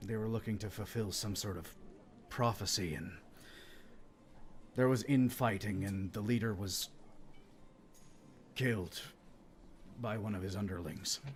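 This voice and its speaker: Amid clear background noise, a man puts on a raspy character voice with a fairly low pitch. He speaks at a moderate pace with fairly even intonation and long, frequent pauses. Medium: actual play. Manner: earnest, measured.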